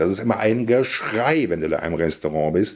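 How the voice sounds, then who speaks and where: Recorded very cleanly against a silent background, a man talks at a moderate pace in a plain, everyday voice with a fairly low pitch. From Siegerland, western Germany. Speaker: podcast guest. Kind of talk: casual philosophical conversation.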